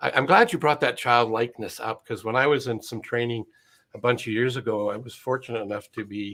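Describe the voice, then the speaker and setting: Recorded very cleanly over a silent background, a man of medium pitch talks fairly quickly with a bright, sharp tone and fairly even intonation. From UK, moved to Canada young. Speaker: business coach and show host. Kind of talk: casual interview chat.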